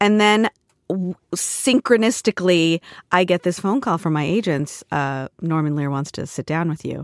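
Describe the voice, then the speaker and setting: In a very clean recording with a silent background and a dry, close sound with no echo, a woman talks at a moderate pace. She has an American accent and lively intonation. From US West Coast, Portland, Oregon and San Diego. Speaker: TV showrunner and former actor. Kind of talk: casual interview.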